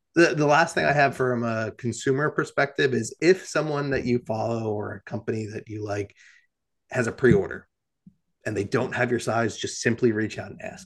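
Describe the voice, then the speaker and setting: A man with an American accent speaks in a normal speaking voice at a medium pitch with ordinary pitch variation. His loudness swings widely. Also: moderate pace. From New Jersey. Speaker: cycling apparel founder and ride organizer. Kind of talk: casual interview chat.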